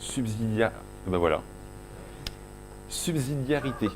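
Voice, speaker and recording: A man with a Breton accent speaks at a fairly slow pace. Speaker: conference speaker, agile coach. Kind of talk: conference talk. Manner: halting, many self-corrections and fillers.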